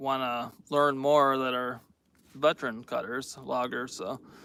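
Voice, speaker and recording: A man with an American accent speaks at a very slow pace in a fairly high, bright, sharp voice. His intonation is fairly even, and the recording is very clean with a silent background. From New York State. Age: 30s. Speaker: logger. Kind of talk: live stream chat. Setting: outdoors in the woods. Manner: hesitant, many fillers.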